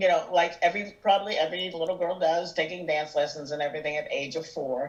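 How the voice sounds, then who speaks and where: Over noticeable background noise, a woman with an American accent and fairly low pitch speaks at a very fast pace with fairly even intonation. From US Northeast, Erie, Pennsylvania. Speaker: musical theater singer and actress. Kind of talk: interview chat. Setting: podcast.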